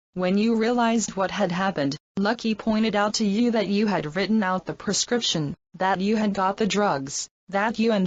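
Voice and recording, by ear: Against a quiet background, the voice is reading aloud in a natural voice with fairly even intonation.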